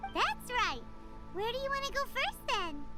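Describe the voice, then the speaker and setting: An extremely high, squeaky put-on character voice at a moderate pace, with clear music in the background. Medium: video game. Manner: chatty, cheeky.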